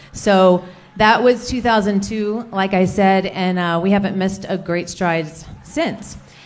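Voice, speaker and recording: Fairly even intonation in a woman's voice. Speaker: presenter. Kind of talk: conference presentation. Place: hall. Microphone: handheld.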